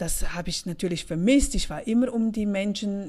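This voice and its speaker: At a moderate pace, a woman speaks at medium pitch in a dark, mellow, somewhat breathy tone. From Switzerland, St. Gallen Rhine Valley. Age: 40s. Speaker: podcast host, finance coach for women. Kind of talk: casual monologue.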